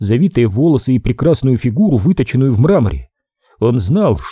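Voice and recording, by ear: The background stays quiet. Over it, someone reads aloud in a natural voice.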